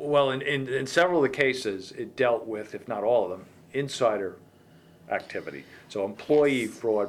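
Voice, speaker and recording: Using a normal speaking voice, a man keeps a medium pitch and ordinary pitch variation while talking at a moderate pace. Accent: American. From US, Virginia (Fairfax County). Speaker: podcast host. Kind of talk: interview. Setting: in-person interview.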